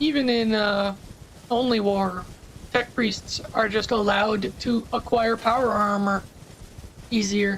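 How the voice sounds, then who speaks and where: Against noticeable background noise, a woman with a fairly high pitch speaks with very even loudness and long, frequent pauses. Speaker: gaming streamer. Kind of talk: casual chat. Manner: halting.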